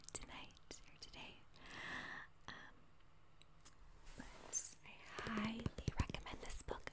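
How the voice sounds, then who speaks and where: Whispering, a woman speaks in a calm tone. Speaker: ASMR creator. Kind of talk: ASMR tarot reading and teaching. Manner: softly spoken, calm. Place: home room. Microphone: phone near.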